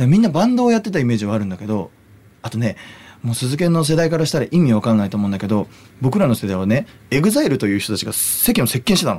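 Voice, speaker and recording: The speaker talks at a very fast pace with very wide pitch swings. Noticeable background noise runs underneath. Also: man, medium pitch for a man. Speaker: singer-songwriter and podcast host. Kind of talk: casual chat. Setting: studio.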